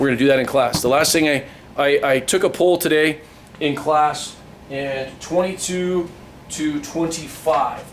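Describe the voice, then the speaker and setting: A man with a fairly high voice speaks at a fairly slow pace, his intonation fairly even. Noticeable background noise runs behind him. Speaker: math teacher. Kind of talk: tutorial.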